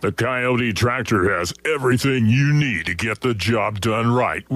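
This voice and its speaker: At a moderate pace, a man does a put-on character voice at a medium pitch. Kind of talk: fake tough guy. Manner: gruff, hard-sell.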